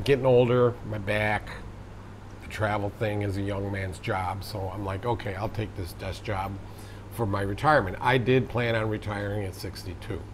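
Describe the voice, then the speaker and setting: Fairly low male pitch with an American accent, fairly even intonation and audible room echo. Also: moderate pace. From United States. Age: 60s. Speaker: vlogger. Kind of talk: casual monologue.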